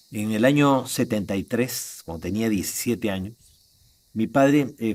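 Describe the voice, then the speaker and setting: In a very clean recording with a silent background, a man of medium pitch talks at a fairly quick pace with ordinary pitch variation. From Peru, Lima. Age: 60s. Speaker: contactee and ufology speaker. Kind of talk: interview testimony. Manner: hesitant fillers.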